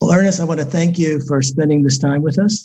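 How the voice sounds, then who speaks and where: A man with an American accent, fairly high in pitch and somewhat breathy, with a dark, mellow tone, fairly even intonation and a moderate pace. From Newark, New Jersey. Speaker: podcast host. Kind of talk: interview.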